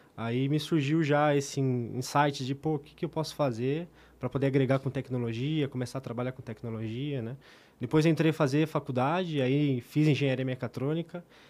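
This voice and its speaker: At a moderate pace, a man with an unremarkable speaking voice and a fairly high pitch talks with fairly even intonation. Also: very clean recording, silent background. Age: 20s. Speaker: IoT technology specialist. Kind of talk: casual chat.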